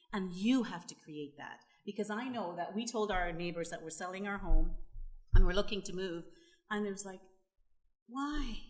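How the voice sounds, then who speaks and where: With a Canadian accent, a woman at medium pitch speaks in an animated tone at a moderate pace, with ordinary pitch variation, big swings in loudness and long, frequent pauses. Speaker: panelist on rural development. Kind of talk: panel discussion.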